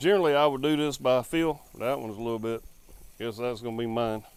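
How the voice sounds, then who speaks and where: A man in a Southern US accent speaks in a relaxed tone with ordinary pitch variation. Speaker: home barbecue cook. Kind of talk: casual cooking tutorial to camera. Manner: relaxed, folksy.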